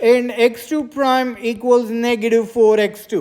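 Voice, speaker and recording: A woman's loud, high-pitched voice at a fairly slow pace, against noticeable background noise. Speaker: math lecturer. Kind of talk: lecture. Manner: hesitant, many fillers.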